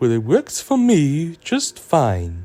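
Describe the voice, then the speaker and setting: A man puts on a character voice, pitched fairly high. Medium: fan dub. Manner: blunt, teasing.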